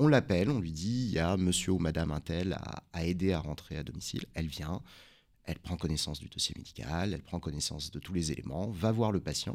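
A man's very deep, low voice with lively intonation at a fairly quick pace. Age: 40s. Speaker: emergency doctor and company founder. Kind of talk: radio interview.

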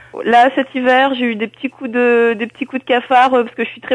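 Here is a woman with a fairly high pitch. She talks at a moderate pace. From northern France (Nord, Lille). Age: 20s. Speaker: wheelchair basketball player. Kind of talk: interview. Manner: halting, many fillers.

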